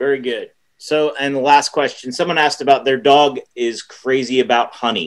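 A man speaks in a plain, everyday voice at a fairly high pitch and moderate pace. His intonation is fairly even against a quiet background. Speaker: event moderator. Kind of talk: Q&A moderation. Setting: video call. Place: home room. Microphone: webcam.

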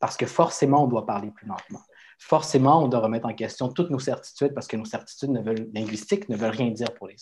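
Very fast, somewhat breathy speech from a man, with ordinary pitch variation and big swings in loudness. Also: medium pitch for a man. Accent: Spanish. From Quebec. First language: Spanish (speaking French). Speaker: writer; guest. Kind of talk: panel discussion. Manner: halting. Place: home room. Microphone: video call.

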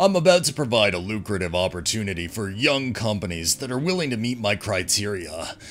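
Over music in the background, a man speaks with lively intonation at a fairly low pitch. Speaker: story narrator. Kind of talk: reading a post aloud with commentary.

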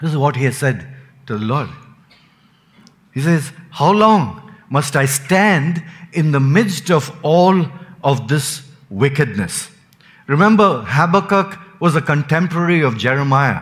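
A man speaks at a fairly slow pace in a somewhat breathy voice, leaving long, frequent pauses. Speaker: preacher. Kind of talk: sermon. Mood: calm, smiling at times. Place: church. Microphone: podium.

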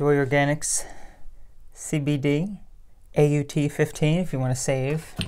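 Against a quiet background, a woman speaks at a very slow pace with long, frequent pauses, her very deep, low pitch carrying a dark, mellow tone and monotone, flat intonation. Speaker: vegan health vlogger. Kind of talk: casual video monologue answering viewer comments. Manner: chatty, repeats words and self-corrects. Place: home room. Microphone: phone near.

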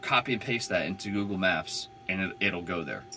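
A man speaks with a very deep, low voice and fairly even intonation. Light background noise sits behind him. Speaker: van dweller vlogger. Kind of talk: casual vlog chat. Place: home room. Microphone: camera far.

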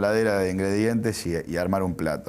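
With an ordinary speaking voice, a man talks at a moderate pace and ordinary pitch variation. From Uruguay. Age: 30s. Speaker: sports journalist; sports journalist guest. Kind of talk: interview.

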